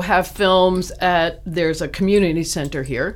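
An ordinary speaking voice from a woman with an American accent, fairly low in pitch, at a fairly slow pace. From US East Coast, Baltimore. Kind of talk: casual interview chat.

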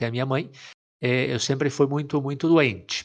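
Against a quiet background, a man with a normal speaking voice and fairly high pitch talks at a moderate pace. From Brazil, interior of São Paulo state. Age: 30s. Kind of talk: casual chat, personal vocation story.

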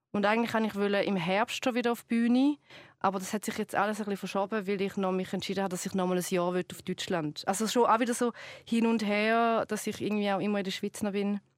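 With fairly even intonation and a medium pitch, a woman speaks at a very fast pace in a very clean recording with a silent background and a dry, close sound with no echo. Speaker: TV presenter and comedian. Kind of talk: casual chat. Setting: studio.

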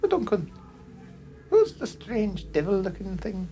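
A female-sounding put-on character voice speaks at medium pitch and a moderate pace. Clear background noise can be heard.

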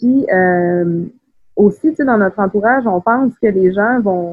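This is a woman with a normal speaking voice at a medium pitch. She goes at a fairly slow pace with ordinary pitch variation. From Quebec City, Quebec (Beauport). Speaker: writer. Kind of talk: casual interview.

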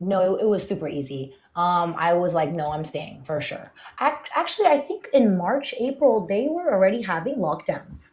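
A woman with an American accent speaks at medium pitch and a moderate pace. Her somewhat breathy voice shows very wide pitch swings. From California, San Francisco Bay Area. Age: 30s. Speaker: tech professional. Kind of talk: casual chat. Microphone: internet connection trouble.

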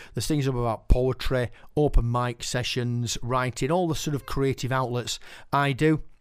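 Speaking with a Yorkshire accent, a man keeps a medium pitch. His pace is moderate and his intonation fairly even. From West Yorkshire, Keighley. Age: 50s. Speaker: podcast host and poet. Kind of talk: casual podcast presenting.

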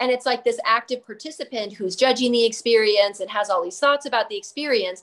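An unremarkable speaking voice with an American accent moves at a fairly quick pace. There are hardly any pauses, and the pitch variation is ordinary. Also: woman, fairly high pitch for a woman. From Phoenix, Arizona, US. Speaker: yoga teacher trainer. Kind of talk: casual interview. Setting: video call.

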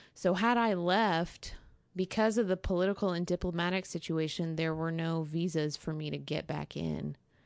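Against a quiet background, a woman with an American accent speaks in a plain, everyday voice at a moderate pace and a fairly low pitch. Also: fairly even intonation. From Texas. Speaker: American expatriate living in Syria. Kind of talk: interview.

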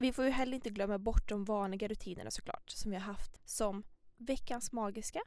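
Here is a woman with an unremarkable speaking voice, pitched fairly high. She talks at a fairly quick pace with fairly even intonation. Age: 20s. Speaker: podcast co-host, psychology student. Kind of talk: casual chat.

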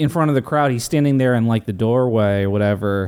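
This man has an unremarkable speaking voice. It stays at a medium pitch and varies in pitch in an ordinary way. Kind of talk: casual chat. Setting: home, turned off AC.

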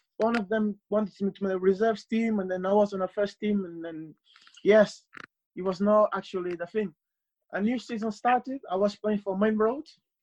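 In a Portuguese accent, a man with a high voice speaks at a moderate pace with fairly even intonation, the sound dry and close with no echo. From Portugal, Cape Verdean family. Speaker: football translator. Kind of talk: casual interview. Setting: remote call.

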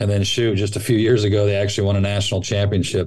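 With an American accent, a man speaks in a fairly low, somewhat breathy voice. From Northern California (Sacramento). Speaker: college baseball coach turned athletic director. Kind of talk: casual interview.

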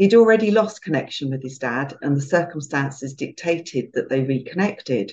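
Speaking with a British accent and hardly any pauses, a woman has a very deep, low pitch, a somewhat breathy quality, and very wide pitch swings. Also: fairly quick pace. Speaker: podcast host. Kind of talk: interview, warm conversational chat. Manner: warm, gentle.

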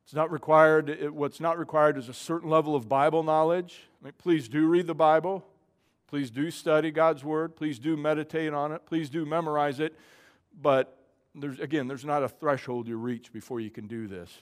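Here a man has an ordinary speaking voice at a fairly high pitch. His loudness swings in big ways. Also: ordinary pitch variation, fairly quick pace, very clean recording, silent background. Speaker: pastor. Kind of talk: sermon. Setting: church.

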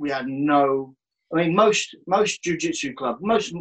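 A man with a Birmingham accent, fairly high in pitch, his intonation lively. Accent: Birmingham (Brummie) English. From Birmingham, England. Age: 40s. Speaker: jiu-jitsu instructor and gym owner. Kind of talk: interview, life story.

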